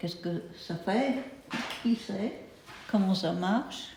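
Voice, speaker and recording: Someone with an English accent speaks at a very slow pace with ordinary pitch variation, amid noticeable background noise and audible room echo. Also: woman. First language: English (speaking French). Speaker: meditation teacher. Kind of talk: lecture. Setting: retreat house. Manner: halting.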